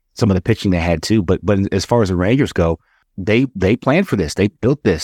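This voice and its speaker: Very fast speech from a man with a very deep, low pitch and ordinary pitch variation comes through dry and close with no echo. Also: very clean recording, silent background. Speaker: baseball executive, former player. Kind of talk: casual chat. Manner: repeats words, halting.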